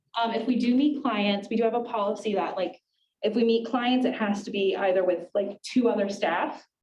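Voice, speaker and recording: Somewhat breathy and dark, mellow in tone, a woman with an American accent speaks at a fairly quick pace and a fairly high pitch. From US Southwest, Tucson, Arizona (west side). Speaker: immigration attorney. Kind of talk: casual Q&A talk to students. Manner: casual, filler-heavy ('like', 'um').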